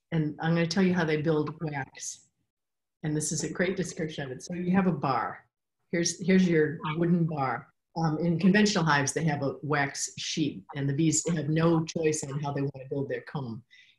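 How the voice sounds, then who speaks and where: A woman with a very deep, low voice speaks at a moderate pace, somewhat breathy, with fairly even intonation. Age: 60s. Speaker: beekeeper and author. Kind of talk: interview.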